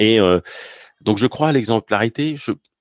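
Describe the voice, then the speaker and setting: The pitch moves in an ordinary way at a moderate pace. The sound is dry and close, with no echo. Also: man. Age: 50s. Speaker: tech professional and podcaster. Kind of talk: casual interview.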